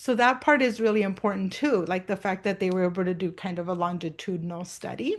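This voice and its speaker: A woman speaks with a non-native accent against a quiet background. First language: not English. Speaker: art educator presenting a webinar. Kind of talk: online professional development presentation. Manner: hesitant, many fillers.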